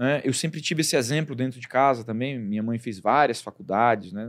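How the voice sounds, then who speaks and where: On a very clean recording with a silent background, a man talks fairly quickly at medium pitch in an ordinary speaking voice with lively intonation. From Brazil, Acre (Rio Branco). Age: 40s. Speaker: doctor and entrepreneur. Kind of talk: interview.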